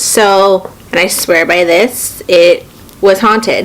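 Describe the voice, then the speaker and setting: Noticeable background noise sits behind a voice with fairly even intonation. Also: woman. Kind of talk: casual talk to camera.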